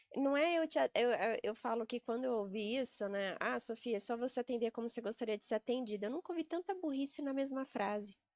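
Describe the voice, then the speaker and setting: A woman speaks fairly quickly in a high voice with lively intonation. The sound is dry and close, with no echo. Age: 40s. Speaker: sales and real estate executive. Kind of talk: podcast interview conversation.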